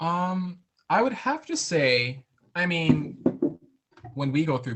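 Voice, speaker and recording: Lively intonation marks this speech. The speaker is a man. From New England, Waterbury Connecticut. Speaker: opera singer, countertenor. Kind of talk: interview.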